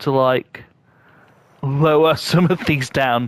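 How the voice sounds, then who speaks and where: A man with a British accent speaks at a very slow pace with fairly even intonation. The sound is dry and close, with no echo. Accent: UK. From UK. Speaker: gaming YouTuber. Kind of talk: gameplay tutorial commentary. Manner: halting, many repeated words and fillers.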